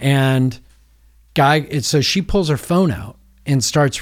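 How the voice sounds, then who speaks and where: At a fairly slow pace, an unremarkable speaking voice with ordinary pitch variation comes through a very clean recording with a silent background. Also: man. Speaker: long-distance walker raising money for charity. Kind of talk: casual chat.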